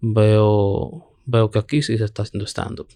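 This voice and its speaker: At a fairly slow pace, a man talks with fairly low pitch. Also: quiet background. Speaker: stand-up comedian. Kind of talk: casual chat. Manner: monotone.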